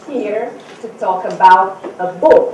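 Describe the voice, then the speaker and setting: A woman with a Portuguese accent at a very slow pace, with audible room echo. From Brazil. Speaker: author and speaker. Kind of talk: seminar talk. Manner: halting.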